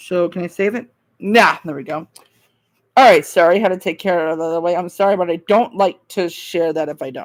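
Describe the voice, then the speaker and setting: A woman talks at a moderate pace in a fairly low voice, her intonation fairly even. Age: 20s. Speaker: livestreamer of emergency scanner audio. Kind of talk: casual live stream commentary.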